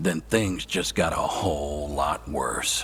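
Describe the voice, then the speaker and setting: Putting on a character voice with a very deep, low pitch, a man talks at a fairly slow pace over clear background noise. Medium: video game. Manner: dry, wry.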